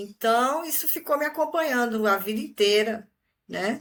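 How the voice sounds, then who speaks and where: At a fairly slow pace, a woman with an ordinary speaking voice talks with lively intonation. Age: 50s. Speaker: retiree, exchange student. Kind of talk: interview.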